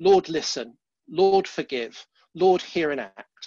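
A man speaks with a dry sound with no echo against a quiet background. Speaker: church leader hosting webinar. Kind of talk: sermon-style Bible teaching. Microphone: headset.

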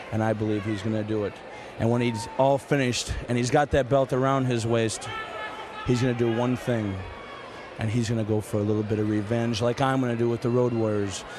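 Over noticeable background noise, a man at a medium pitch speaks at a fairly quick pace in a monotone, flat intonation. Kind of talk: wrestling promo, vengeful interview.

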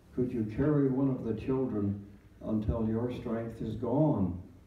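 A man speaks at a fairly slow pace with fairly even intonation, amid audible room echo. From Canada. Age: 90s. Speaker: retired clergyman. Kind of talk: Remembrance Day address. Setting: church service. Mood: solemn, measured storytelling. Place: hall.

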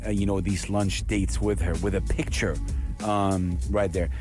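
Over clear background music, a man with a very deep, low pitch speaks at a moderate pace, swinging his pitch very widely, in a dry sound with no echo. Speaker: radio presenter. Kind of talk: radio show talk. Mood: warm, moved. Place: studio. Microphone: studio mic.

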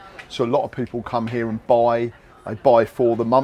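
A man is talking. Light background noise can be heard. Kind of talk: interview answer. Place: market.

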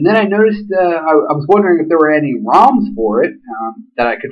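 A man's high-pitched voice at a moderate pace against a quiet background. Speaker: phone hobbyist reviewer. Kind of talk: casual review talk. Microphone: webcam.

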